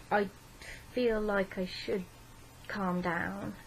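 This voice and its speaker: Her intonation stays monotone and flat. The woman's pitch sits in the middle of her range. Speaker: mental health vlogger. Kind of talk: personal vlog.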